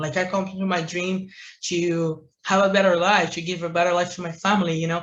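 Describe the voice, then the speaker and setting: This man has a high voice with a bright, sharp tone and a Brazilian Portuguese accent. His intonation stays monotone and flat. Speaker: entrepreneur, marketing agency owner. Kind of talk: interview answer.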